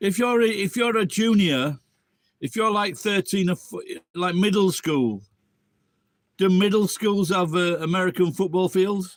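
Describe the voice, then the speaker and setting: A man with an English accent and a high pitch talks at a fairly slow pace, with long, frequent pauses. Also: ordinary pitch variation. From England. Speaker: live streamer. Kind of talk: casual live stream chat.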